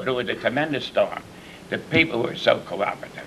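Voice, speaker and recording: A man with an American accent is heard in a room with audible echo, noticeable background noise running underneath. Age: 70s. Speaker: former village mayor. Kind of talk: panel discussion. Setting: village hall. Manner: halting.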